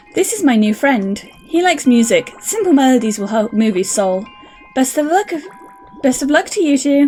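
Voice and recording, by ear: Over music in the background, a woman with an Irish accent speaks at a moderate pace in a high voice with very wide pitch swings. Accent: Irish-sounding lilt.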